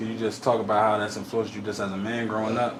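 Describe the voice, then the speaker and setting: A man with an American accent at a very fast pace, amid audible room echo and noticeable background noise. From Delaware, US Northeast. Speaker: podcast host. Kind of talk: casual interview.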